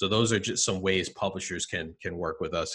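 The voice has a bright, sharp tone, a New Jersey accent and fairly even intonation. It moves at a very fast pace over a quiet background. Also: man. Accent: New Jersey American. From New Jersey, US. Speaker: marketing executive. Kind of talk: interview. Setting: video call.

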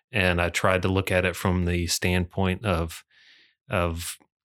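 A man talks fairly slowly in a very deep, low voice on a very clean recording with a silent background. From Michigan, Muskegon. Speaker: author and business litigator. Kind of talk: casual chat. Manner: halting.

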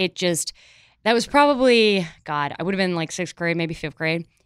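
With an American accent, a woman talks at medium pitch and a moderate pace with ordinary pitch variation, captured in a very clean, dry, close recording with no echo and a silent background. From Chicago, US Midwest. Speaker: comedy writer and sketch performer. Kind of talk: casual chat.

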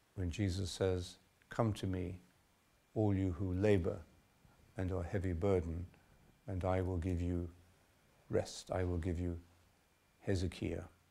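Very deep and low, a man's somewhat breathy voice carries a dark, mellow and calm, gentle tone, moving at a fairly slow pace with monotone, flat intonation and long, frequent pauses. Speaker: meditation teacher leading retreat. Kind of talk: talk on meditation, then guided meditation instructions. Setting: retreat hall with audience. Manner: calm, slow, gentle, soothing, with hesitations.

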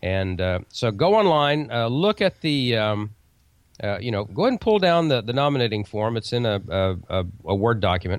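A man with an ordinary speaking voice talks at a moderate pace and medium pitch, his intonation lively. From Oklahoma. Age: 50s. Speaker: radio commercial producer and amateur radio news presenter. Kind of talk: casual interview chat on a live call-in radio show. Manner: relaxed, chatty, with frequent fillers and repeated words.

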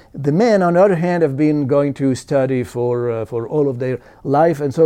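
Speaking at a moderate pace, this man has a fairly high pitch, a dark, mellow tone and ordinary pitch variation. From Italy. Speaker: demographer. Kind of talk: interview. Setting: conference. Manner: halting.

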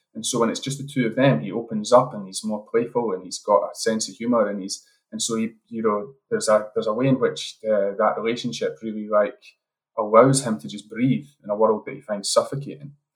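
A man with an Edinburgh accent talks at a fairly quick pace and a medium pitch. His pitch varies in an ordinary way while his loudness swings widely. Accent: Scottish (Edinburgh). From Scotland, Edinburgh. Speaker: screenwriter and playwright. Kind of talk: interview. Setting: remote call.

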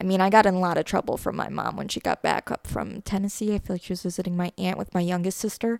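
The recording is dry and close, without any echo. On it, a woman talks at a moderate speed. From US Midwest, Northwest Indiana. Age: 20s. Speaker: podcaster. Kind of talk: casual interview, personal life story.

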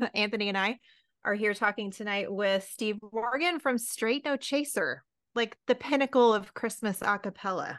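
A woman with a normal speaking voice talks at a moderate pace and fairly high pitch, with ordinary pitch variation. The background is quiet and the sound dry and close, with no echo. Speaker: podcast host. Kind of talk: casual interview chat.

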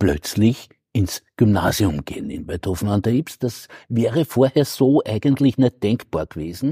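A man with a medium pitch and a dark, mellow tone talks at a very slow pace, recorded dry and close with no echo. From Lower Austria, Waidhofen an der Ybbs. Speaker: historian. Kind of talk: interview. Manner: halting.

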